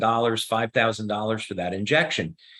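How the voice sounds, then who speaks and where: A man talks in a New Jersey accent. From US Northeast, New Jersey. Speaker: company founder and scientist answering questions. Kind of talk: Q&A explanation. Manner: many filler words and hesitations.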